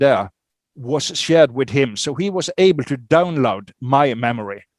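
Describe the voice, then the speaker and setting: A man's fairly high voice at a moderate pace, with ordinary pitch variation and a dry, close sound with no echo. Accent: non-native. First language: not English. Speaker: author on psychic phenomena. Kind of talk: interview. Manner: halting, many fillers.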